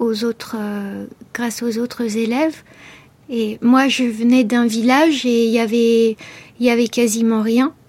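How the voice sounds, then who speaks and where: A woman at a fairly high pitch and a very slow pace, monotone and flat in intonation, over noticeable background noise. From France, Beauce region. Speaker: writer. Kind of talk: radio interview. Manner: halting, many hesitations.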